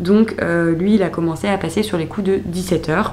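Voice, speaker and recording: A woman's fairly low voice with audible room echo and noticeable background noise. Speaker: vlogger. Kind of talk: casual vlog narration. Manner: chatty, hesitant with fillers.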